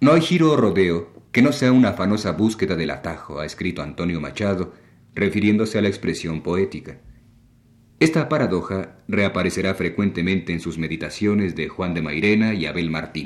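Over a silent background in a very clean recording, a man with a very deep, low pitch talks at a moderate pace with lively intonation. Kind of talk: radio lecture on literature. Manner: formal; measured, didactic.

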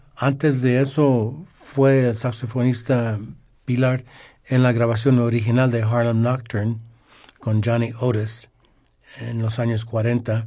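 A man speaks very slowly in a dark, mellow, somewhat breathy voice, his intonation monotone and flat, with long, frequent pauses. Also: medium pitch for a man. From Los Angeles, California, Mexican-American. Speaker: music radio guest, Latin music collector. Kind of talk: casual radio interview.

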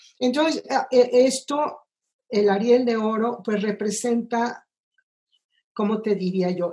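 A woman with a dark, mellow tone talks fairly slowly with ordinary pitch variation. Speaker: film composer. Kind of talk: interview. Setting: video call.

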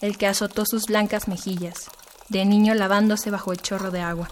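A woman speaks at a moderate pace in a fairly high, flat monotone, with noticeable background noise. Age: 20s. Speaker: poet and literature student. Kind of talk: poetry reading.

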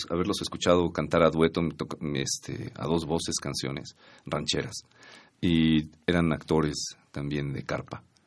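Over a quiet background, a man with a very deep, low pitch speaks at a fairly slow pace with fairly even intonation. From Mexico, Estado de México (Atlacomulco). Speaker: singer-songwriter and guitarist. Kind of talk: radio interview. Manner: hesitant, many fillers.

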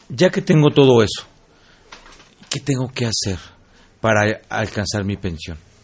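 A man speaks at a fairly slow pace in a medium-pitched voice, with very wide pitch swings. Long, frequent pauses break up his speech, and noticeable background noise runs underneath. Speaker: radio host. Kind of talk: radio interview. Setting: studio. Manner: halting.

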